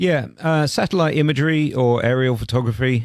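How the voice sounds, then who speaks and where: A man with a British accent at a moderate pace, on a very clean recording with a silent background. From London, England. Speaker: roofing contractor. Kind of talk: radio interview. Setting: studio.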